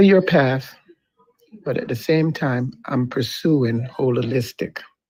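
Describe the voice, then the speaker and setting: Speaking very slowly with long, frequent pauses, a man uses a medium pitch with ordinary pitch variation. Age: 60s. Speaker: listener participant. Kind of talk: casual chat.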